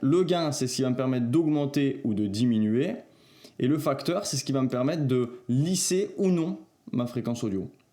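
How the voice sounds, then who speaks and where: A man speaks at a moderate pace in a dark, mellow tone with lively intonation. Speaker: video editing tutorial creator. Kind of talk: tutorial. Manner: casual, hesitant with filler sounds.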